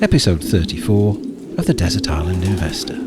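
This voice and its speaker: Noticeable background noise around a man's moderate pace. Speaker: podcast host. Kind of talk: casual chat. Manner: soft-spoken.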